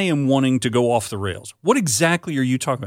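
An unremarkable speaking voice with lively intonation comes through with a dry, close sound with no echo on a very clean recording with a silent background. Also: man. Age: 50s. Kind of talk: casual chat.

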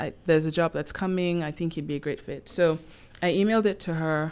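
Nothing can be heard behind the very clean recording. The speaking pace is moderate. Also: woman. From Nigeria. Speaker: junior policy analyst, recent graduate. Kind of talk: interview, casual chat.

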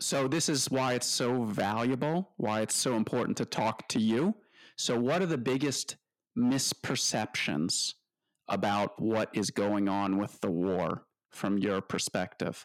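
A man with a plain, everyday voice at medium pitch speaks at a fairly slow pace with lively intonation and very even loudness, the sound dry and close with no echo on a very clean recording with a silent background. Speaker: podcast host. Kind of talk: interview.

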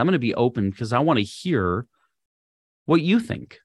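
A man's medium-pitched voice at a moderate pace, an ordinary speaking voice with lively intonation. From Minnesota, US Midwest. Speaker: podcast host and leadership coach. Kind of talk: solo podcast lesson.

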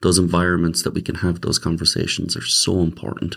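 In a Limerick accent, a man speaks with a very deep, low pitch and monotone, flat intonation. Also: very clean recording, silent background. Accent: Irish (Limerick). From Ireland, Limerick. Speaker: pastor. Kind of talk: interview.

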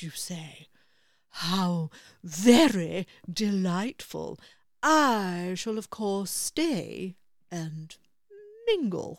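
Using a put-on character voice, a woman speaks very slowly at a medium pitch with long, frequent pauses, in a very clean recording with a silent background. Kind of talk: bedtime story. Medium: read story. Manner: slow, serious, pedantic.

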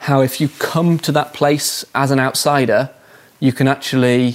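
The man has an English accent and a medium pitch. He speaks at a fairly slow pace in monotone, flat intonation. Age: 30s. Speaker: professional rock climber. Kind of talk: interview. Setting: studio.

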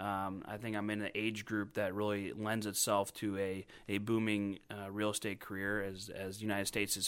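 A man with an American accent talks at a fairly quick pace in a fairly low pitch. His intonation stays monotone and flat. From northwest Indiana, US Midwest. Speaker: real estate agent. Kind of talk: interview.

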